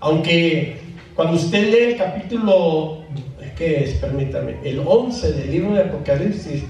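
A man's fairly high, fairly slow voice with lively intonation, audible room echo and light background noise. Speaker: preacher. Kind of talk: sermon. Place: church.

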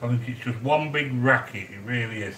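Amid light background noise and audible room echo, a man speaks at a moderate pace with ordinary pitch variation. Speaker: home cook livestreamer. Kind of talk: casual live-stream chat. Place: kitchen. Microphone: phone near.

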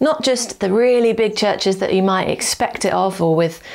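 A woman talks at a moderate pace. Her pitch varies in an ordinary way. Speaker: preacher. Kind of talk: sermon. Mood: warm, encouraging. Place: home room.

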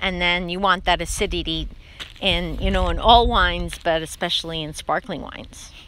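Speaking at a moderate pace, a woman with a fairly low pitch uses ordinary pitch variation and a fairly bright tone.

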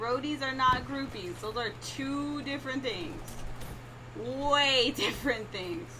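Against noticeable background noise, a woman with an American accent uses a raised, projected voice at a high pitch and a very slow pace. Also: ordinary pitch variation. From California, USA. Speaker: gamer streamer. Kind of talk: casual live-stream talk to chat.

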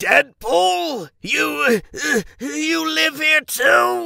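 This man's raised, projected voice sits high in pitch and swings very widely up and down. The sound is dry and close, with no echo. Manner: pompous, irritable, contemptuous.

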